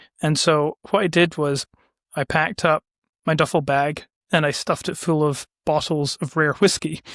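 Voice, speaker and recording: A man with a Scottish accent speaks at a moderate pace, with a fairly high pitch and fairly even intonation. The recording is very clean and dry, close with no echo, over a silent background. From Scotland, west coast. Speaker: business owner, ad agency founder. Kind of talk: casual interview chat.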